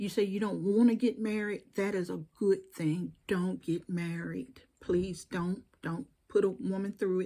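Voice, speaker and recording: With a Southern US accent, a woman speaks at a fairly slow pace in a dark, mellow tone with ordinary pitch variation. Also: medium pitch for a woman. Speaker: YouTube commentator. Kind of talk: direct-to-camera monologue. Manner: animated.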